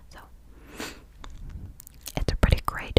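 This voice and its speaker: An intense whisper from a woman against noticeable background noise. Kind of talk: ASMR whisper ramble about makeup products. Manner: whispered, intense.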